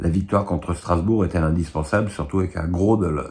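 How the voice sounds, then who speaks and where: A man's very deep, low voice holds a fairly even intonation. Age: 60s. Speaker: football pundit. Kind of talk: casual commentary answering viewer questions. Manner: halting with frequent repetitions and fillers.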